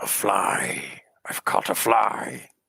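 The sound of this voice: A man does a put-on character voice that is raspy, guttural and booming.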